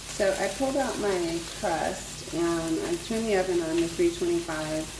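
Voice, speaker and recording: A soft-spoken woman at a fairly low pitch with ordinary pitch variation, amid audible room echo and noticeable background noise. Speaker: cooking vlogger. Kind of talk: casual cooking vlog. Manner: hesitant, many fillers. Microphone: without a microphone at first, may be quiet.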